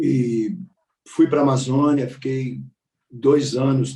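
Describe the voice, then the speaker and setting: A man's somewhat breathy, dark and mellow voice at a fairly high pitch and a very slow pace. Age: 60s. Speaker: meditation teacher and mindfulness coach. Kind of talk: panel talk, personal life story. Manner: halting, with frequent repetitions.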